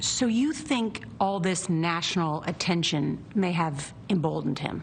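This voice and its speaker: Here is a normal speaking voice. It moves at a fairly slow pace with lively intonation. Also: woman, fairly low pitch for a woman. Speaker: TV news anchor. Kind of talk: TV news interview questions.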